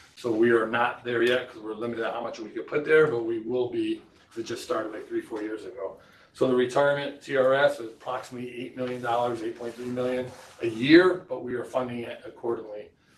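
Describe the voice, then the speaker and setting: At a very fast pace, a man with a medium-pitched voice speaks with fairly even intonation and big swings in loudness, with audible room echo and noticeable background noise. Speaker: school district finance official. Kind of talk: budget presentation at board meeting. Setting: school board meeting.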